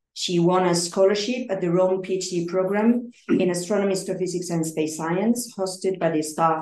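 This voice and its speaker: A woman's dark, mellow voice at a very fast pace, with audible room echo. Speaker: colloquium organizer. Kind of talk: speaker introduction. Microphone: video call.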